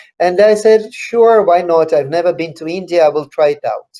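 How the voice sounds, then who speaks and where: A man with a high pitch and a dark, mellow tone talks at a fairly quick pace with ordinary pitch variation. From Russia. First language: Russian. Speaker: author. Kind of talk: interview Q&A. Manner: halting.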